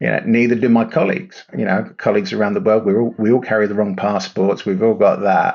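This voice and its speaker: Talking very fast, a man speaks with an English accent. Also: hardly any pauses, very even loudness. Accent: English, noted by host. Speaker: startup CEO. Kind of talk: podcast interview.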